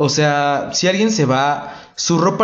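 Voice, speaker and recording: With audible room echo, a man in a Mexican accent speaks at a fairly high pitch with lively intonation. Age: 20s. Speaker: podcast host. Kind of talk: casual monologue. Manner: animated.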